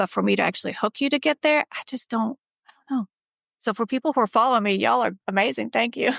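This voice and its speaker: A woman talks very fast in a fairly high voice with vocal fry and ordinary pitch variation. The recording is very clean, dry and close, with no echo and a silent background. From Bosnia. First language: not English. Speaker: dermatologist. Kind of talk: podcast interview.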